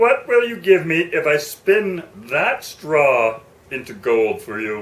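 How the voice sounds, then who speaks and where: A man puts on a character voice. His pitch sits fairly high for a man. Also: fairly slow pace. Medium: read story.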